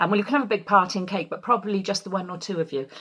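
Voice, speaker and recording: A woman with a Welsh accent. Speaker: community choir leader. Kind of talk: casual address to choir members.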